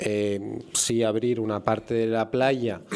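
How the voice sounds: A man of medium pitch speaks with a slightly mellow tone.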